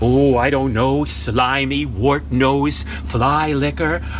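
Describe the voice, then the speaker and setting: A man's put-on character voice at a medium pitch, very slow pace, clear background noise. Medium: stage play.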